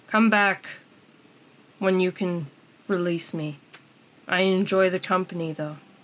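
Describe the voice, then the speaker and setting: Using a put-on character voice at a medium pitch, a woman speaks at a moderate pace with long, frequent pauses. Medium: actual play. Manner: terse broken phrases.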